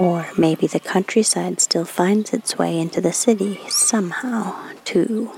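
Against noticeable background noise, a woman talks at a fairly slow pace with very even loudness. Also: medium pitch for a woman, fairly even intonation, hardly any pauses. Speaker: podcast co-host.

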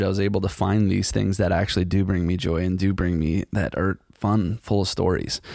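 A man's fairly low-pitched voice at a moderate pace. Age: 40s. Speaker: podcast host. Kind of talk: solo casual monologue. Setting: studio.

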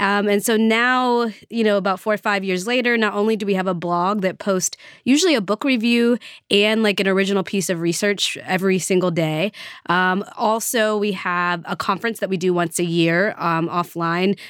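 A woman's medium-pitched, plain, everyday voice with an American accent, moderate pace, ordinary pitch variation and very even loudness, in a very clean recording over a silent background. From US South, Nashville. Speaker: history professor. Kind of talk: interview.

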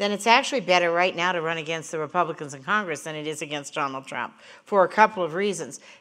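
With an American accent, this is an unremarkable speaking voice showing ordinary pitch variation. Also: woman. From Montana. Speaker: pollster and political strategist. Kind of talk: panel discussion. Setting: stage with live audience.

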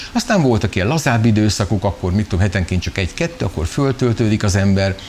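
A man talks very quickly with ordinary pitch movement, while clear background noise carries on. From Hungary, Szeged. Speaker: children's musician. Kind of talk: interview.

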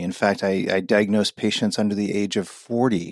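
Recorded very cleanly with a silent background and a dry, close sound with no echo, a man speaks in a normal speaking voice, fairly low in pitch and at a fairly quick pace. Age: 40s. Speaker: gastrointestinal pathologist. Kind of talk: interview.

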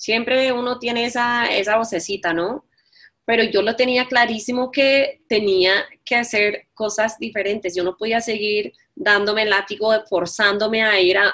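A woman with an English accent speaks in a fairly high voice at a fairly slow pace, with ordinary pitch variation. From New York. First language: English (speaking Spanish). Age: 40s. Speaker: entrepreneur and life coach. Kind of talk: interview.

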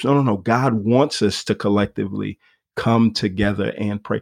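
A plain, everyday voice is heard against a quiet background. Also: man. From US, Nigerian immigrant family. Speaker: pastor. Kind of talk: casual interview.

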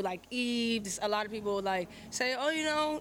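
In a plain, everyday voice, a woman talks at a moderate pace with a medium pitch. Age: 20s. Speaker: rapper. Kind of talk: casual interview. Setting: showcase venue.

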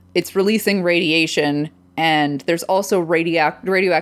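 In a very clean recording with a silent background, a woman speaks at a moderate pace in an animated tone with ordinary pitch variation. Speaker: podcast co-host. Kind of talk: casual chat reviewing TV. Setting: home recording. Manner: loud; animated, frequent laughing and swearing.

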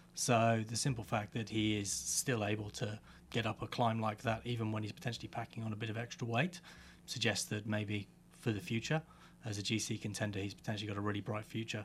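Talking at a very fast pace, a man with a fairly low, somewhat breathy voice keeps his intonation fairly even. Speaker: cycling commentator. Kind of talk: casual chat.

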